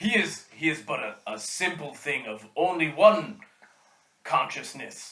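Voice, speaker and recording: A man does a put-on character voice at a fairly high pitch and a fairly slow pace. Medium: actual play. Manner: formal, lofty.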